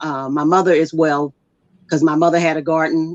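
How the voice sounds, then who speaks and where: A plain, everyday voice with an American accent and fairly even intonation. The sound is dry and close, with no echo. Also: woman. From US Midwest, Kansas City. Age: 60s. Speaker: farmer and veteran. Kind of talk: interview. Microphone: using phone.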